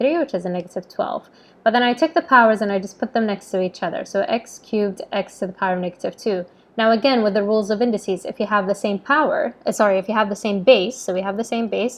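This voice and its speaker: A woman speaks very fast in a fairly high voice, with ordinary pitch variation. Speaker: maths teacher. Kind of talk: tutorial.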